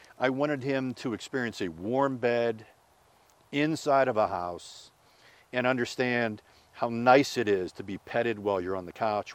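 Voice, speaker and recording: On a very clean recording with a silent background, a man with a plain, everyday voice and an American accent talks at a moderate pace, medium pitch and ordinary pitch variation. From Pittsburgh, Pennsylvania. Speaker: sportscaster. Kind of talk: casual interview.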